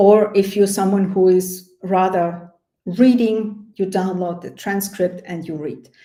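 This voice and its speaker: A woman with a non-native accent, a dark, mellow tone at medium pitch, monotone, flat intonation and big swings in loudness. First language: not English. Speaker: project management coach. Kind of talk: webinar product walkthrough. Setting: online webinar. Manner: not fast; hesitant, many fillers.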